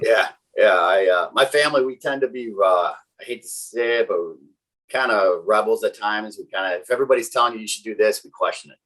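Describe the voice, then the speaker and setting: A man talks at a very fast pace. He has a slight Wisconsin accent. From Wisconsin, greater Milwaukee area. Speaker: technical sales engineer. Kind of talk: casual interview chat. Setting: podcast interview. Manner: many fillers and restarts.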